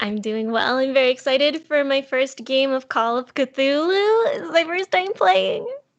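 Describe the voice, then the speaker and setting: Noticeable background noise accompanies speech at a moderate pace with very wide pitch swings and hardly any pauses. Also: woman, high pitch for a woman. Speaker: role-play game player. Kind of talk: tabletop role-play game show.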